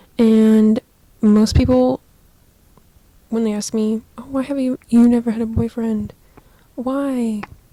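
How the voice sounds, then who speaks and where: With long, frequent pauses, a woman speaks at a very slow pace in a fairly high, monotone voice with flat intonation. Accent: American. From Southern California. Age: 20s. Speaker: podcaster. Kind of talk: casual chat. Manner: casual, filler-heavy. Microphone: cheap microphone.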